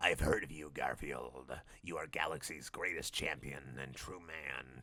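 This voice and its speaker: Over light background noise, a man puts on a raspy character voice pitched very deep and low, speaking at a moderate pace. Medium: read story. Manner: mysterious.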